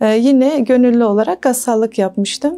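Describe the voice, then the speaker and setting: A woman with ordinary pitch variation and music in the background. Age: 30s. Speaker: volunteer corpse washer, earthquake witness. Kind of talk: testimony. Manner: halting, with frequent fillers.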